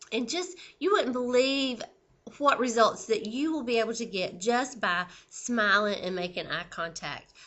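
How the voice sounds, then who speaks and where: A woman's fairly high voice, lively intonation and a fairly slow pace. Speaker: sales director giving training. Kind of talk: training video. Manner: casual, conversational.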